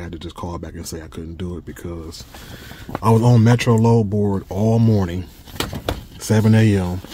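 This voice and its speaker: A man with a dark, mellow tone and a somewhat breathy voice speaks at a moderate pace with fairly even intonation, the sound dry with no echo and light background noise. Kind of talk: casual vlog chat. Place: car. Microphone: phone near.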